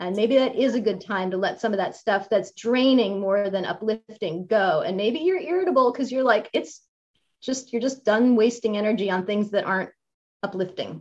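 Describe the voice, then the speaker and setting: Speaking at a moderate pace, a woman uses an ordinary speaking voice at a fairly high pitch with ordinary pitch variation. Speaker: podcast host and fitness trainer. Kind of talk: interview, friendly conversation.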